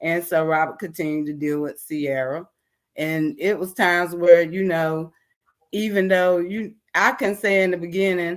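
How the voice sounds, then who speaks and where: Her pitch fairly low, a woman speaks with ordinary pitch variation. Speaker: panel guest. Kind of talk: casual chat. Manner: slow.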